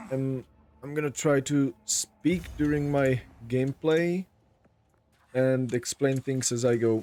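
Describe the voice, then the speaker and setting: A man with a non-native accent speaks very slowly at a medium pitch, leaving long, frequent pauses. His intonation is fairly even, and the sound is dry and close with no echo. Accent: non-native, self-described weak pronunciation. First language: not English. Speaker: gaming YouTuber and streamer. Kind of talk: gameplay commentary. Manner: halting.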